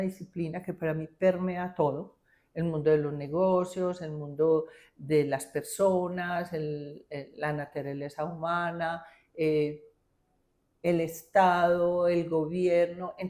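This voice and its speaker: Very slow and monotone, a woman speaks with flat intonation, a dark, mellow tone and a fairly low pitch. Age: 60s. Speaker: engineer, lawyer and business executive. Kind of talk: interview.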